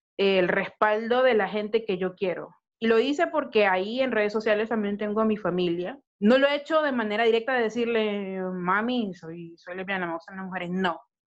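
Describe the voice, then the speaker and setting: Here is a woman with an ordinary speaking voice at medium pitch. She talks at a moderate pace with hardly any pauses and ordinary pitch variation. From Honduras. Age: 30s. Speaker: podcast co-host. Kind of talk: casual chat.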